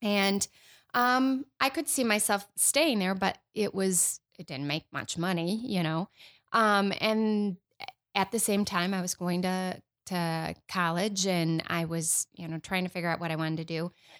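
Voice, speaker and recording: Speaking with a plain, everyday voice and an American accent, a woman talks at a fairly slow pace and medium pitch with ordinary pitch variation, dry and close with no echo, on a very clean recording with a silent background. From Michigan. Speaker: former 911 director. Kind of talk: casual chat.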